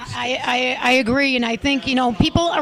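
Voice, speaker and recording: High-pitched female speech over noticeable background noise. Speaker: talk show host. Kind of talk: interview question.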